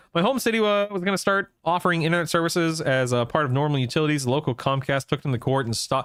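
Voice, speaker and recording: A man with a fairly high pitch and lively intonation talks in an ordinary speaking voice. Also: very clean recording, silent background. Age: 40s. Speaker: gaming streamer. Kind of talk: casual live stream chat.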